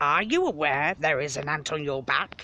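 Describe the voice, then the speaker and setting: This is a put-on character voice at a low-to-middle pitch. The pace is moderate. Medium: read story.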